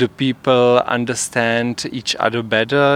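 A man speaks with a Czech accent at a medium pitch. His delivery is fairly slow and monotone, with flat intonation. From Czech Republic. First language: Czech (speaking Dutch). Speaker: theatre performer. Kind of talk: interview. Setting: outdoors on a rooftop. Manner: halting.

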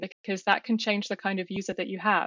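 A woman with a British accent talks at a medium pitch and a fairly quick pace. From UK. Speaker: software engineer. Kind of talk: casual chat.

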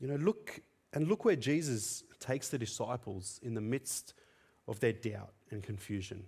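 This man has a medium pitch and a dark, mellow, somewhat breathy tone. He speaks at a moderate pace with ordinary pitch variation. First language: Tamil. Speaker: preacher. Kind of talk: sermon. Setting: church.

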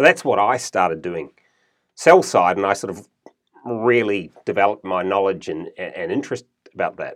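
This man has a New Zealand accent. His loudness swings widely. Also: moderate pace. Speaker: investment fund manager. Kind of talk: interview. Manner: halting with fillers.

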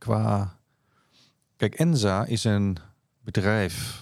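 A man talks at a fairly low pitch with ordinary pitch variation. The recording is very clean, with a silent background. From Netherlands, near Rotterdam (South Holland). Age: 50s. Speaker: chief financial officer. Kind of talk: interview conversation.

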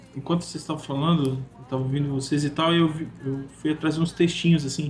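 A man's fairly high-pitched voice holds fairly even intonation while noticeable background noise sits behind it. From Manaus, northern Brazil. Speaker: designer. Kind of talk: casual chat.

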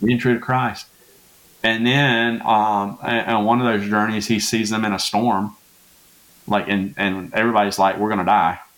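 A man with a Southern US accent talks at a moderate pace in a fairly low, monotone voice with flat intonation. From Louisiana. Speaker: pastor. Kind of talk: casual chat.

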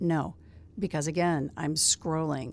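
A woman speaks in a plain, everyday voice with an American accent. Her pitch sits fairly low. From US Midwest, South Bend, Indiana. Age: 60s. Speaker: veteran TV news anchor. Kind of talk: casual interview chat. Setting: radio studio.

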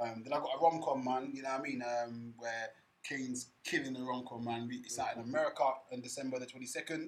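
At a fairly quick pace, a man talks in a medium-pitched voice with monotone, flat intonation. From Kent, England. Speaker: film director. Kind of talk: casual chat. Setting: studio.

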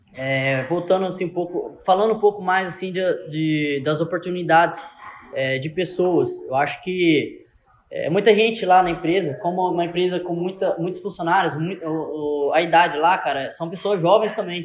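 A man with a high voice talks at a moderate pace. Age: 20s. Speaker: entrepreneur. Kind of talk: casual chat.

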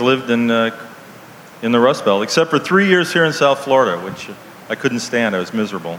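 Medium-pitched man with lively intonation at a moderate pace, noticeable background noise behind him. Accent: American. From Ohio, US. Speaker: cartoonist and author. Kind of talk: live interview on stage. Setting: outdoor stage with audience.

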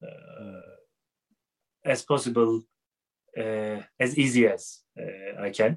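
A man with a Turkish accent speaks at a very slow pace with long, frequent pauses, in a dry, close sound with no echo. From Turkey, Istanbul. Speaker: music teacher. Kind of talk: interview. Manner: halting.

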